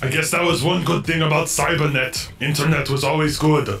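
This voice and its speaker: Over clear background noise, a man puts on a character voice with a fairly high pitch at a fairly quick pace. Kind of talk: movie impression for comedy. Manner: flat, robotic, literal.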